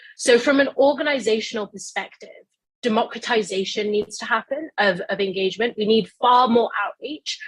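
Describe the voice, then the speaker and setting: A woman with a British accent speaks at a fairly high pitch with ordinary pitch variation. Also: moderate pace. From global south. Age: young. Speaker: youth climate advocate. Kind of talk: panel discussion.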